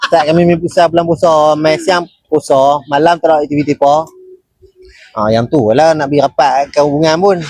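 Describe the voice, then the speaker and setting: An ordinary speaking voice from a man, fairly high in pitch, with very even loudness, fairly even intonation and a moderate pace. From northern Malaysia (Seberang Perai, Penang). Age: 20s. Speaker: team member, paranormal crew. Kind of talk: casual chat. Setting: live stream.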